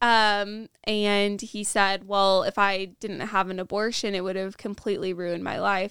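A woman's medium-pitched, monotone, flat delivery at a fairly slow pace with hardly any pauses, on a very clean recording with a silent background. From Nebraska, US Midwest. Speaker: guest, pro-life outreach volunteer. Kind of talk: casual podcast debrief chat. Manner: sometimes struggles with words.

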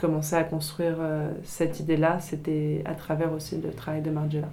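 There's audible echo from the room. A woman speaks at a moderate pace. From France, Paris. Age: 20s. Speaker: fashion designer. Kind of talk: interview. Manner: hesitant, many fillers.

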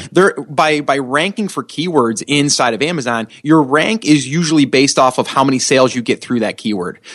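A fairly high-pitched man at a fairly quick pace, with ordinary pitch variation. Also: hardly any pauses. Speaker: Amazon seller expert. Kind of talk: interview, explaining strategy. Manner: fast talker; excited, hyper.

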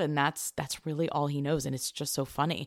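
A woman's very deep, low pitch in a very clean recording against a silent background. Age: 40s. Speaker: podcast co-host, business owner and mom. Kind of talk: casual chat.

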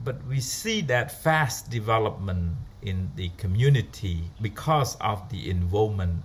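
A man speaks at a fairly slow pace with lively intonation. His voice is somewhat breathy. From Cambodia, rural. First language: Khmer. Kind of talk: personal story. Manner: halting.

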